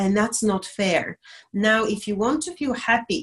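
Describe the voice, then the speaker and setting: With a Bulgarian accent, a woman speaks at a moderate pace with lively intonation. Her fairly high voice is somewhat breathy. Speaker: diversity and inclusion specialist. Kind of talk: interview on live stream. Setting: video call.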